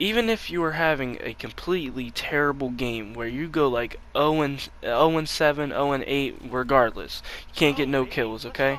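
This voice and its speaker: Amid noticeable background noise, a man with a fairly high pitch speaks in an animated tone at a moderate pace, with hardly any pauses and ordinary pitch variation. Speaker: gaming YouTuber. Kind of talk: gameplay commentary with tips. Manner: halting, self-correcting; casual, animated.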